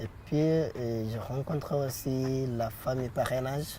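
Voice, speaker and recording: Dark and mellow in tone, a man's somewhat breathy voice sits at a medium pitch. His pitch variation is ordinary. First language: not French, learned in last seven years (speaking French). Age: 20s. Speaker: apprentice, young immigrant. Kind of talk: interview. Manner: halting, many hesitations.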